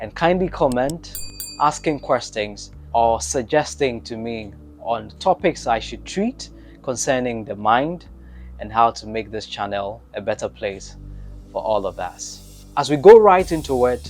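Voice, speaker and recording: Over music in the background, a man talks at a fairly slow pace with big swings in loudness. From Ghana. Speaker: mindset coach, online video host. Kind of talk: motivational talk to camera. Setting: solo recorded video.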